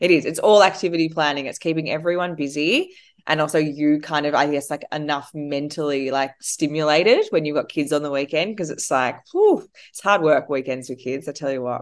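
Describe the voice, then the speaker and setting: A woman with an Australian accent talks at a fairly quick pace in a very deep, low pitch against a quiet background. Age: 30s. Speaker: entrepreneur. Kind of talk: interview.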